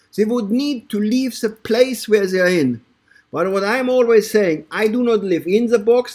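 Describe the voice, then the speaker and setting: On a very clean recording with a silent background, a man with a German accent speaks at a fairly slow pace in a high, animated voice with ordinary pitch variation. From Germany, Bavaria (Ingolstadt, Munich). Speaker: network marketing presenter. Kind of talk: sales pitch. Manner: animated, repetitive with stumbles.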